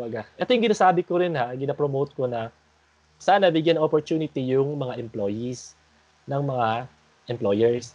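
This is a plain, everyday voice with lively intonation at a moderate pace. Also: man, medium pitch for a man. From Philippines. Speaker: podcast host. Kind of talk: casual group discussion.

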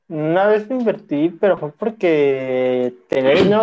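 With a Mexican accent, a man speaks at a very slow pace using lively intonation. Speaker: podcast co-host. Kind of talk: casual chat.

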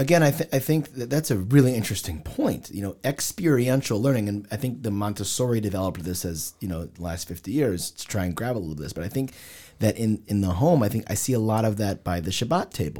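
A man with a Midwestern American accent speaks very fast, with hardly any pauses and lively intonation. His fairly low voice has a dark, mellow tone, on a very clean recording with a silent background. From US Midwest, Cincinnati, Ohio. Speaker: rabbi. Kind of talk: casual discussion.

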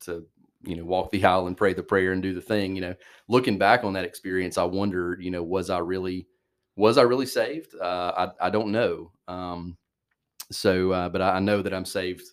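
In an Alabama accent, a man with a very deep, low pitch talks fairly quickly and in a flat monotone over a very clean recording with a silent background. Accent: Alabama Southern. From US South. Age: 30s. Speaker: church youth minister. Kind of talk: casual interview chat.

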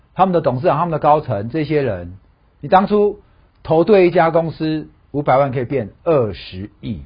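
A somewhat breathy, fairly high male voice with very wide pitch swings at a moderate pace. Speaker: stock analyst. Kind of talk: casual chat. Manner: animated.

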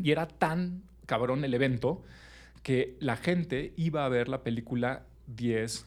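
Using an unremarkable speaking voice, a man of medium pitch talks at a fairly slow pace with ordinary pitch variation. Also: very clean recording, silent background. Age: 30s. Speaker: podcast host. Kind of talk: casual chat.

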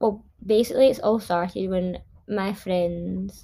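Here a woman speaks at a very slow pace with ordinary pitch variation. The recording is very clean, with a silent background. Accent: Glasgow. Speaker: podcast host. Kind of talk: casual monologue.

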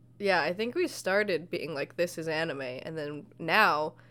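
This is an unremarkable speaking voice at a fairly slow pace. Its pitch varies in an ordinary way. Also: woman. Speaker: podcast host. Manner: joking, sarcastic.

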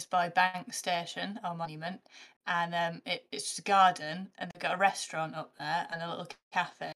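A woman with a fairly low pitch keeps a moderate pace and fairly even intonation, with big swings in loudness. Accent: northern English. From northern England. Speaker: comedian. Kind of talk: casual chat.

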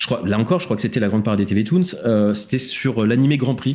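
A man's very fast speech with lively intonation. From France, Île-de-France (Essonne). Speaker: podcast host. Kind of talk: casual chat. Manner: halting.

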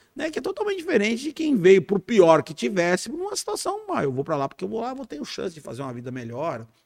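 A man talks at a very fast pace with hardly any pauses and big swings in loudness. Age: 50s. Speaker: police chief, former army officer. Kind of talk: casual interview.

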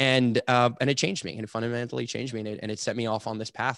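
A man with a Montreal accent is heard in a dry, close sound with no echo. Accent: Montreal English (Canadian). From Montreal, Quebec, Canada. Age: 30s. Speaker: entrepreneur and farmer. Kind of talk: interview conversation.

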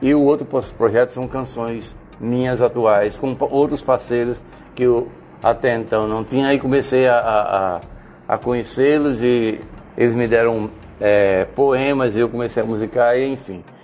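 Fairly slow pace and fairly even intonation, with noticeable background noise. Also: man, medium pitch for a man. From Brazil, Natal (Rio Grande do Norte). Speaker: singer-songwriter. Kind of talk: casual interview. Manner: halting.

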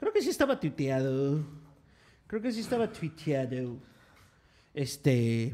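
In a Mexican accent, a man speaks very slowly with a dark, mellow tone, a fairly high pitch, very wide pitch swings, and long, frequent pauses. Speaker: podcast co-host. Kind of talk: casual chat. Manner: animated.

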